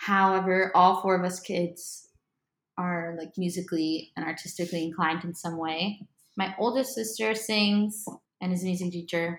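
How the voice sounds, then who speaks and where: A woman with an American accent talks at a moderate pace in an ordinary speaking voice. Her pitch is medium and her intonation is fairly even. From Miami, Florida. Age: 20s. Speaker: singer-songwriter. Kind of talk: casual chat. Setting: living room at home.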